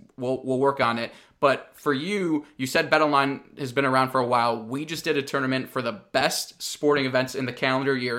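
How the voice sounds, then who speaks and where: A normal speaking voice moves at a fairly quick pace. The intonation stays fairly even. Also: man. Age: 20s. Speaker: podcast host. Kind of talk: casual interview.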